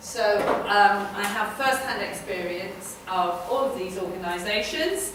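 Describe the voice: A woman talks at a medium pitch and a fairly slow pace, with ordinary pitch variation. Her tone is fairly bright, and room echo is audible.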